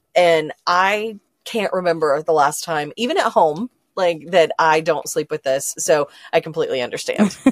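An ordinary speaking voice moves at a moderate pace with ordinary pitch variation. The sound is dry and close, without echo. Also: woman, fairly low pitch for a woman. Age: 40s. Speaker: founder of a women's travel community. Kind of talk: casual interview chat.

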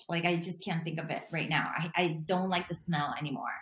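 Her voice somewhat breathy and medium in pitch, a woman talks at a fairly quick pace. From Latin America. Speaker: intuitive life and health coach. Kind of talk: casual chat.

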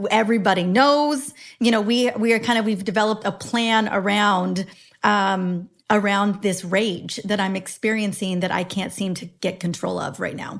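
With ordinary pitch variation and medium pitch, a woman uses a normal speaking voice at moderate speed. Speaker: women's health expert and author. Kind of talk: casual interview chat.

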